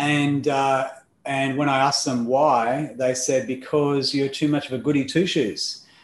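A man with an Australian accent speaks at a fairly slow pace in a fairly high pitch, his loudness very even and his intonation flat and monotone, with audible room echo. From Australia (Melbourne, later Perth). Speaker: life coach. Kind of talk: interview conversation.

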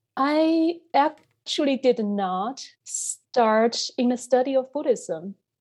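Dark, mellow tone from a woman, pitch varying in an ordinary way. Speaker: assistant professor of religious studies. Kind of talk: interview.

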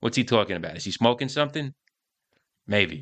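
Bright and sharp in tone, a man of medium pitch sounds animated, with ordinary pitch variation. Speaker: podcast host and career coach. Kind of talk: podcast monologue. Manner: animated, brash, humorous.

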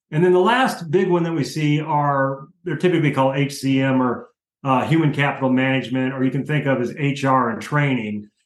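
A man's fairly high-pitched, normal speaking voice, moderate in pace, with ordinary pitch variation. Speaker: industry consultant. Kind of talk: interview discussion, casual professional.

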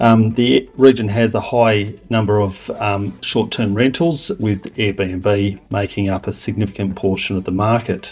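Speaking with an Australian accent, a man keeps a fairly low pitch and fairly even intonation. His pace is fairly slow, with hardly any pauses. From Western Australia. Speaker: property valuer. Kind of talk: short prepared monologue.

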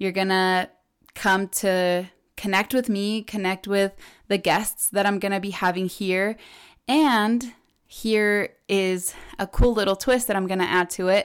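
At a fairly slow pace and medium pitch, a woman speaks with a Spanish accent in a very clean recording with a silent background. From Ecuador. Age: 20s. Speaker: podcast host. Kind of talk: casual solo podcast chat. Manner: animated.

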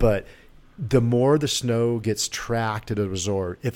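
In a very clean recording with a silent background, a man with an unremarkable speaking voice talks at a medium pitch with fairly even intonation. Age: 50s. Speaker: former pro snowboarder. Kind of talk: casual interview chat.

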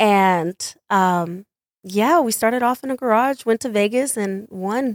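A plain, everyday voice: a woman with an American accent talks at a fairly slow pace, her fairly high pitch showing ordinary variation, on a very clean recording with a silent background. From Texas, Mesquite. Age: 20s. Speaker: dancer and dance teacher. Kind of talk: casual chat.

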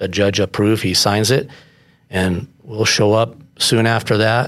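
An ordinary speaking voice comes through with fairly even intonation at a fairly slow pace. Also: man. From Colorado Springs, US. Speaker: code enforcement officer. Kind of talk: casual interview.

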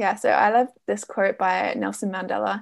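A woman with an Essex accent at a moderate pace, against a quiet background. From Essex, England. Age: 20s. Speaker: business coach. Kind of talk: interview.

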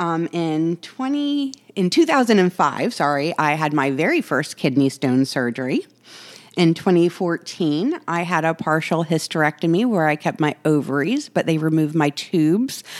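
Lively intonation from a woman with an unremarkable speaking voice, fairly low in pitch, at a moderate pace. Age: 40s. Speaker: podcast host. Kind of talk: personal monologue. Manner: casual with frequent fillers.

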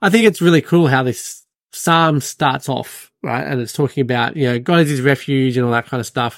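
On a very clean recording with a silent background, a man talks fairly quickly in an ordinary speaking voice, medium in pitch with ordinary pitch variation. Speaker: podcast host. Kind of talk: casual Bible discussion podcast.

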